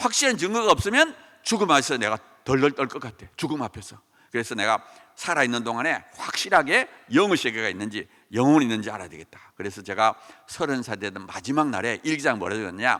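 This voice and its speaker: A man with a bright, sharp tone talks very fast, with big swings in loudness. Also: medium pitch for a man, lively intonation. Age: 60s. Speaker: professor. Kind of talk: testimony. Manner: animated.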